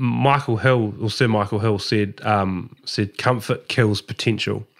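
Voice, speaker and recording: A man speaks very slowly with a New Zealand accent. His voice is fairly low-pitched, with fairly even intonation. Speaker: podcast host. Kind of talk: casual interview. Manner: halting, many fillers and repetitions.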